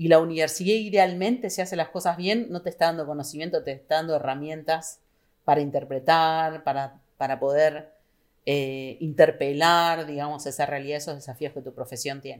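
In a Rioplatense accent, the speaker uses ordinary pitch variation in a very clean recording with a silent background. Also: woman. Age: 40s. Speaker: political scientist and university administrator. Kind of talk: casual interview.

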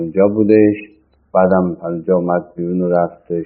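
A man's very deep, low voice in monotone, flat intonation at a moderate pace. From Iran, Tehran. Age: 60s. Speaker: former central banker. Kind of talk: oral history interview. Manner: halting.

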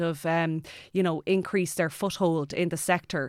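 In a western Irish accent, the speaker talks at a fairly slow pace with monotone, flat intonation on a very clean recording with a silent background. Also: woman. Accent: Irish, west of Ireland. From Ireland, County Mayo. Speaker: aeronautical engineer and astronaut candidate. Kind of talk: casual interview. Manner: hesitant, many fillers.

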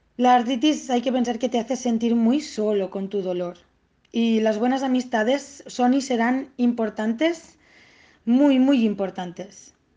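Over a quiet background, a woman speaks at a fairly slow pace with a high pitch and a dark, mellow tone. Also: ordinary pitch variation. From Catalonia, Spain (Tortosa). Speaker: autoimmune disease patient. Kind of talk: interview. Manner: halting, with many repetitions.

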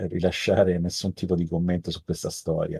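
Fairly quick speech from a man with a very deep, low pitch and a dark, mellow tone, dry and close with no echo, over a quiet background. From Italy, Rome. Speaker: tech entrepreneur, former researcher. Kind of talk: interview. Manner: halting, many fillers and repetitions.

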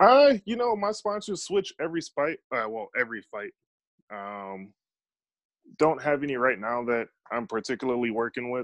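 With an American accent, the speaker moves at a moderate pace through very wide pitch swings and long, frequent pauses, over a quiet background. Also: man, medium pitch for a man. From Chicago. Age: 30s. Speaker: professional MMA fighter. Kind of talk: podcast interview.

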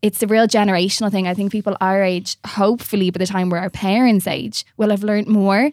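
At a very fast pace and with fairly even intonation, a woman with an Irish accent speaks in a dry, close, very clean recording with no echo and a silent background. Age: 30s. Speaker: nutritional therapist. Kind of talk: casual chat. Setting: studio.

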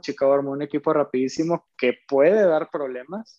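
Dry and close with no echo, a man's dark, mellow tone sits at a fairly high pitch as he talks at a moderate pace with fairly even intonation. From northern Mexico (Monterrey). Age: 20s. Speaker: professional basketball player. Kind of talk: casual interview.

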